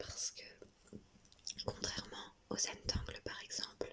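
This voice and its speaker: Noticeable background noise sits behind a whispering voice. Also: woman. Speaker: drawing tutorial creator. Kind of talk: ASMR drawing tutorial. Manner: whispered; slow, calm.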